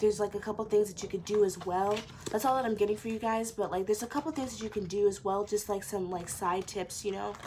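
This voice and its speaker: There is noticeable background noise as a woman talks at a very fast pace. Her voice sits at a medium pitch with fairly even intonation. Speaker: tarot reader. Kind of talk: tarot reading video. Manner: casual, filler-heavy.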